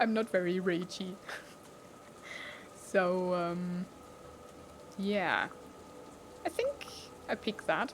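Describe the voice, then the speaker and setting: A woman with a non-native accent and fairly even intonation, at a very slow pace with long, frequent pauses. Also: medium pitch for a woman. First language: not English. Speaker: let's play gamer. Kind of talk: game commentary with reading aloud. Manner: casual.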